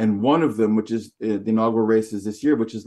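With a North American accent, a man speaks at a medium pitch in a dark, mellow tone. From Canada. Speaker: magazine publisher. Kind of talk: interview.

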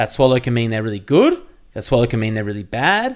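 The voice belongs to a man. He speaks with an Australian accent. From Victoria, Australia (near Geelong). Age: 30s. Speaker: radio and TV host. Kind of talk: casual chat.

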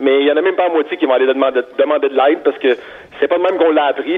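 Noticeable background noise sits behind the speaker. He is a man with a fairly high pitch and ordinary pitch variation. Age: 30s. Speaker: construction worker and dads' group founder. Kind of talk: interview.

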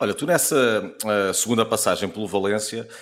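With an unremarkable speaking voice, a man talks at a fairly low pitch with ordinary pitch variation, on a very clean recording against a silent background. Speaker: podcast host and TV presenter. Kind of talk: interview.

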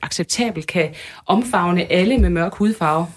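A somewhat breathy woman's voice with lively intonation at a fairly slow pace. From Denmark, Aarhus area (Tilst). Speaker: journalist and demonstration organiser. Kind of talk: radio interview.

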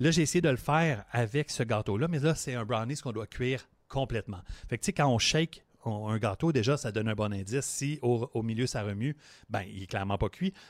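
In a very clean recording with a silent background and a dry, close sound with no echo, a man with an unremarkable speaking voice talks at a fairly quick pace, using a medium pitch and ordinary pitch variation. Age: 40s. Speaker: sports podcast co-host. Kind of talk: casual chat; tutorial.

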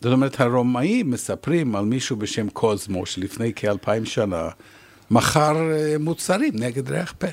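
A man's medium-pitched voice with an English accent, fairly slow in pace with lively intonation. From Canada. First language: English (speaking Hebrew). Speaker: retired professor and researcher. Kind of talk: interview.

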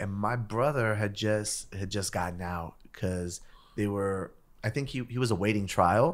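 Fairly low in pitch, a man with an American accent speaks at a fairly slow pace with ordinary pitch variation. The recording is very clean with a silent background. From US West Coast, East Los Angeles. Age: 30s. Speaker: rapper. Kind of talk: casual chat.

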